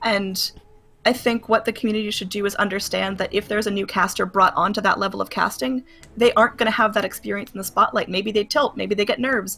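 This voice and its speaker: Her medium-pitched voice races at a very fast pace as this woman keeps a fairly even intonation. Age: 20s. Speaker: esports caster. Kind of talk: interview.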